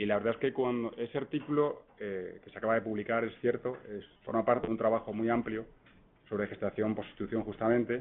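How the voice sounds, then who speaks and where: Here a man talks at a fairly quick pace and medium pitch. His intonation stays fairly even. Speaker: law professor. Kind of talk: conference talk. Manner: fast; hesitant, repeats words.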